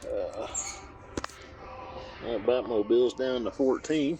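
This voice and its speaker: Through clear background noise, a man speaks very slowly. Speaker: toy collector vlogger. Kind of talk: casual walk-and-talk vlog. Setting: in a store.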